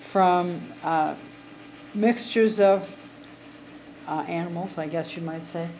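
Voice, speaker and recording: A woman talks with ordinary pitch variation while light background noise runs underneath. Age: 80s+. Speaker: glass artist and spinner. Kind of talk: casual chat; casual guided tour explanation. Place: shop. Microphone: phone near.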